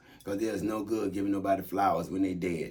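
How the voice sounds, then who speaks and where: Talking at a very fast pace, a man with a fairly low pitch is heard amid audible room echo. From Tampa, Florida. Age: 60s. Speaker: military veteran. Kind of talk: casual monologue. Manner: animated.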